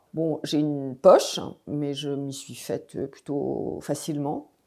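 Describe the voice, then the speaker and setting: A woman's very deep, low voice, dark and mellow in tone, monotone and flat, at a very slow pace on a very clean recording over a silent background. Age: 60s. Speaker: cancer patient. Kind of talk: testimony. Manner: hesitant, many fillers.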